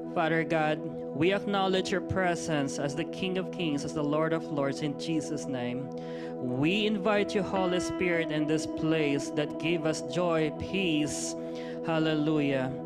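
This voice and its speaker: Loud music plays in the background. Over it, a man talks at a fairly slow pace. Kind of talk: scripture reading and opening prayer. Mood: earnest, reverent. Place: church. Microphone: handheld.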